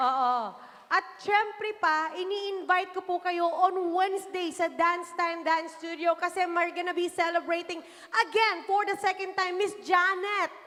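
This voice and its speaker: A woman speaks in a raised, projected voice at a moderate pace, her pitch extremely high. Her tone is bright and sharp and her intonation fairly even. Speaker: variety show host. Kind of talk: live show hosting.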